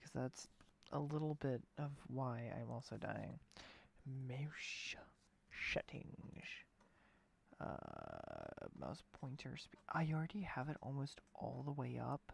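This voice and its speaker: Soft-spoken and very slow, the voice leaves long, frequent pauses. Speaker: gaming streamer. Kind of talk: live gameplay stream. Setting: at home late at night. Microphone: low quality mic, input maxed.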